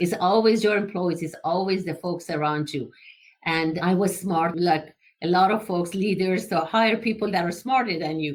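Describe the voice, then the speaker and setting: Delivered at a moderate pace, the speech carries an Iranian accent. Pitch variation is ordinary. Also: woman, medium pitch for a woman. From Iran, Tehran. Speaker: engineering entrepreneur. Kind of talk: interview.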